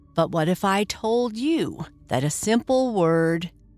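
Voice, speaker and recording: A woman talks at a very slow pace in a fairly low pitch. Music plays in the background. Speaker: bedtime podcast host. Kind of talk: guided meditation. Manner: soft, slow, soothing.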